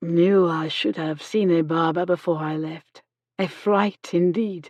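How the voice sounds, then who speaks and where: A put-on character voice from a woman, fairly low in pitch with fairly even intonation. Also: fairly slow pace. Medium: read story. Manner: formal, courteous.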